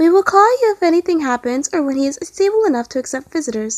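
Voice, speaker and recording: A woman's put-on character voice, extremely high in pitch, very fast, with very wide pitch swings. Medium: read story.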